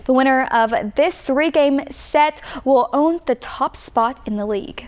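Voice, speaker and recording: Over noticeable background noise, a woman with an American accent speaks at a high pitch with ordinary pitch variation. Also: fairly slow pace. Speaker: TV reporter and anchor. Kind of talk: live on-air segment anchoring and interviewing.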